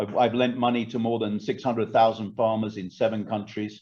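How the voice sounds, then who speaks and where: Against a quiet background, a man speaks at a moderate pace in a fairly low pitch with a dark, mellow tone. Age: 60s. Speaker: agribusiness expert. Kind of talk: online presentation. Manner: hesitant, many fillers.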